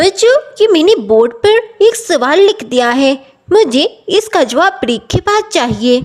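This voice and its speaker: In a cartoonish character voice, a woman speaks at a fairly slow pace in an extremely high pitch with very wide pitch swings and very even loudness. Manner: stern, authoritative.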